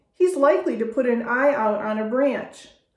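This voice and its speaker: A woman's whiny, put-on character voice, high in pitch with ordinary pitch variation, at a moderate pace and with slight echo. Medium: read story. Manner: whining.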